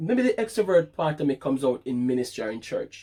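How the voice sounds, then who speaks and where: Loud and at a moderate pace, a man speaks with a fairly high pitch. His pitch swings very widely. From Jamaica. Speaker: vlogger. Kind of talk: casual chat.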